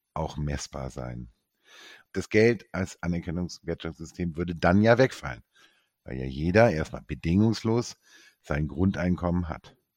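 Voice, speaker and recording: A man speaks at a fairly slow pace with a very deep, low pitch and a dark, mellow tone. The sound is dry and close with no echo, and the background is quiet. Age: 50s. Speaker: entrepreneur, sustainability engineer. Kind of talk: casual chat.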